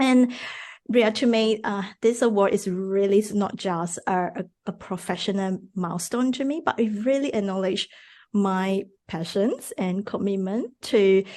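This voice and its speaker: Against a quiet background, a woman with a Mandarin accent speaks at a fairly slow pace in a dark, mellow tone at medium pitch with ordinary pitch variation. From Malaysia. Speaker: fertility dietitian. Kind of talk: podcast interview. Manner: hesitant, many fillers.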